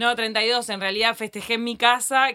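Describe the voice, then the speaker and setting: A woman's tone is bright and sharp. The recording is very clean, and the background is silent. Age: 30s. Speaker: journalist. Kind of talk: casual chat.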